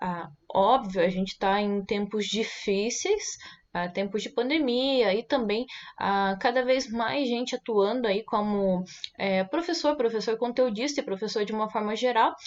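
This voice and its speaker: At a fairly slow pace, a woman uses a normal speaking voice, fairly high in pitch with ordinary pitch variation. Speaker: online course teacher. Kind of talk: casual vlog monologue. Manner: many filler sounds.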